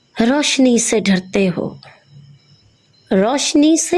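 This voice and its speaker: A woman's high voice with very wide pitch swings. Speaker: Urdu lecturer. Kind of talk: poetry reading.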